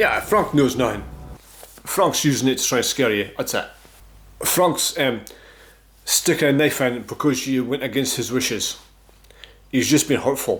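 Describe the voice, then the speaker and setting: Speaking with a Scottish accent, a man keeps a moderate pace and a medium pitch with ordinary pitch variation. Long pauses come often. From Scotland. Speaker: YouTube reaction host. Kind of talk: casual reaction commentary. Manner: casual, conversational.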